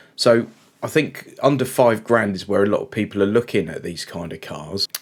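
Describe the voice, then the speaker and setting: Lively intonation and a moderate pace mark this speaker, who talks with an English accent. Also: man. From England. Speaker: car reviewer. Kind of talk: casual talk-to-camera review. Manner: halting with fillers.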